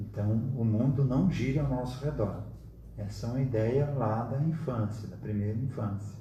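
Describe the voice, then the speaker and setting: Amid noticeable background noise and audible room echo, a man speaks at a moderate pace and medium pitch, with ordinary pitch variation. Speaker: spiritist study group leader. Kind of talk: lecture. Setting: live stream.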